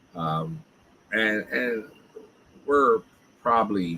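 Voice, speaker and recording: With a South Jersey accent, a man talks in a bright, sharp tone with lively intonation. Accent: South Jersey accent, people hear Philly. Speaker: live streamer. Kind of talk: casual chat. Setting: live stream.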